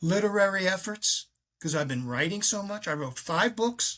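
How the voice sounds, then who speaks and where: A man's high-pitched voice with a bright, sharp tone, lively intonation and a moderate pace. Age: 80s+. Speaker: author and faith speaker. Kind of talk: interview conversation. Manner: halting.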